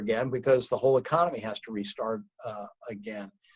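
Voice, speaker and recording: This man speaks at a moderate pace in a somewhat breathy voice, with a dry, close sound and no echo. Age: 60s. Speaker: company founder. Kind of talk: interview.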